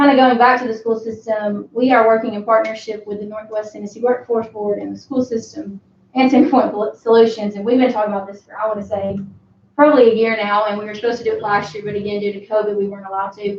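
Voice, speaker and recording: A woman with a Southern US accent, fairly high-pitched, very fast, with fairly even intonation and big swings in loudness. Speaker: economic development director. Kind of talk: presentation at city board meeting. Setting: city board meeting.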